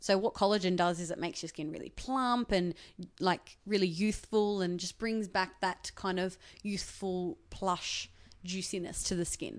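At a moderate pace, a woman with an Australian accent speaks in a medium pitch with fairly even intonation against a quiet background. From Australia, Sydney western suburbs. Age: 20s. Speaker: beauty YouTuber and TV presenter. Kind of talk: casual interview. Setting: living room in an apartment.

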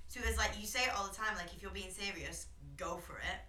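A woman speaks over noticeable background noise. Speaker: podcast co-host. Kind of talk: casual chat. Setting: late-night recording.

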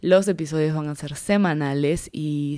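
The pitch varies in an ordinary way. The recording is very clean, and the background is silent. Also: woman. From Peruvian Amazon. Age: 20s. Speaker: podcaster and social media creator. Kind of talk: podcast trailer monologue.

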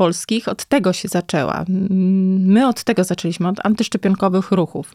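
A woman speaks in a normal speaking voice at medium pitch with ordinary pitch variation. Her moderate pace comes through in a dry, close sound with no echo. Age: 40s. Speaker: psychiatrist. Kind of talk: casual chat.

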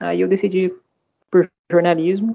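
A man with an unremarkable speaking voice talks at a fairly slow pace with lively intonation. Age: 20s. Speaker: journalism graduate. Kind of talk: casual chat.

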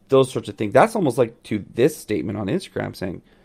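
At a medium pitch, a man talks at a fairly quick pace. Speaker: podcast host.

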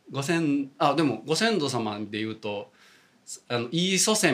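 Lively intonation and a moderate pace mark this voice in a Kansai accent, heard over noticeable background noise. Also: man. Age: 40s. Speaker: Buddhist priest. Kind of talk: casual chat.

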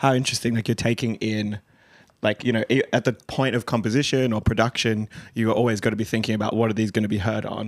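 Recorded very cleanly with a silent background and a dry, close sound with no echo, a man with an Australian accent speaks very fast in a medium, monotone, flat voice. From Western Sydney, Australia. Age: 30s. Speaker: podcast host. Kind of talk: casual chat.

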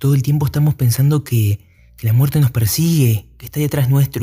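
Somewhat breathy and fairly high in pitch, this man's voice carries a dark, mellow tone. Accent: Argentine. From Argentina. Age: young. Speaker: podcaster. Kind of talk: solo monologue podcast. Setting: at night. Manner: halting, many fillers.

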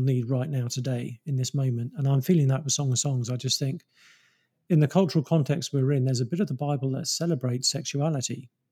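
Speaking very fast with a British accent, a man with a fairly high pitch, ordinary pitch variation, a somewhat breathy sound and a dark, mellow tone comes through on a very clean recording with a silent background. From England. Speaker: pastor and author. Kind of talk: interview. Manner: halting.

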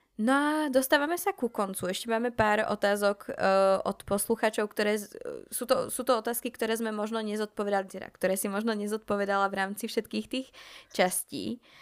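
A normal speaking voice from a woman, fairly high-pitched with ordinary variation and a fairly quick pace, dry and close with no echo, on a very clean recording over a silent background. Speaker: podcast host. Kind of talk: casual chat.

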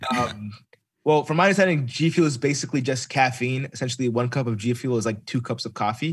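Speaking very fast, a man with an American accent uses a somewhat breathy, medium-pitched voice with ordinary pitch variation. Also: very clean recording, silent background. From US Midwest. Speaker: gamer and streamer. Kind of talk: casual interview chat.

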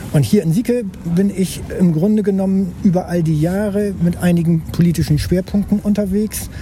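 Through noticeable background noise, a high-pitched man speaks at a moderate pace with hardly any pauses, fairly even intonation and very even loudness. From northern Germany, Bremen-Nord. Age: 60s. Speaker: local politician. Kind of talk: casual chat. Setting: outdoors.

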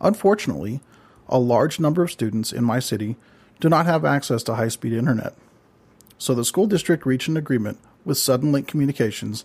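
In a very clean recording with a silent background, a man speaks at a medium pitch and a fairly quick pace with lively intonation. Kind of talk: scripted monologue. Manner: fast.

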